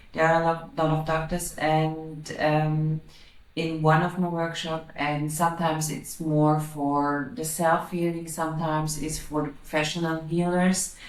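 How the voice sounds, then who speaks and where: Speaking at a fairly slow pace, a woman with a very deep, low pitch keeps a monotone, flat intonation, and audible room echo surrounds her voice. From Austria. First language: German. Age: 40s. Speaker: psychic medium and energy healer. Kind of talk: interview. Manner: halting, repeating words.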